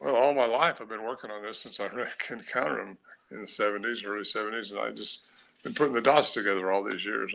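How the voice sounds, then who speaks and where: This man's voice sits fairly low in pitch, with a bright, sharp tone, a fairly quick pace, and vocal fry. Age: 80s+. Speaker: cryptid researcher and author. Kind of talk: live podcast interview. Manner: halting, with many fillers.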